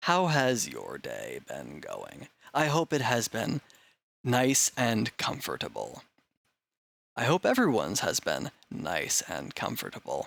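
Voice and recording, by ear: A man puts on a gravelly, raspy character voice. He speaks at a fairly slow pace.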